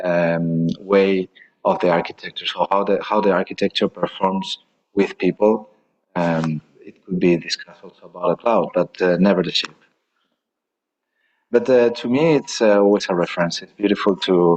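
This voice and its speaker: At a moderate pace, a man with a fairly low pitch and ordinary pitch variation speaks with big swings in loudness in a dry, close sound with no echo. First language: Spanish. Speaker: architect. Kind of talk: lecture Q&A answer. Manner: halting.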